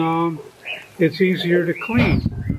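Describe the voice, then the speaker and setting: A man with an American accent speaks at a high pitch and a very slow pace. Noticeable background noise runs underneath. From United States. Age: 70s. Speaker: fasting retreat client. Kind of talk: interview. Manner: halting, many fillers.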